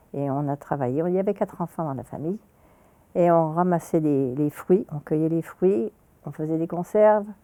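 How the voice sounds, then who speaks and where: A woman's fairly low, dark and mellow voice at a moderate pace, with ordinary pitch variation and a dry, close sound with no echo over a quiet background. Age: 80s+. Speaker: senior sharing life story. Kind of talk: personal storytelling interview.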